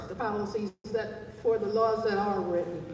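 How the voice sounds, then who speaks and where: In an American accent, a woman speaks at a fairly high pitch with ordinary pitch variation. The room echo is audible, and there is noticeable background noise. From Baltimore, Maryland. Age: 60s. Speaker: town hall attendee, community service worker. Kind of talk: public comment at town hall. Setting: community town hall meeting.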